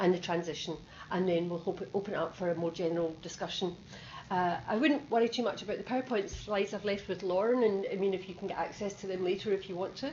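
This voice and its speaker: Amid audible room echo, a woman with a Scottish accent talks very fast with ordinary pitch variation. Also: medium pitch for a woman. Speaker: nursing education director. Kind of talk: presentation. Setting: video conference.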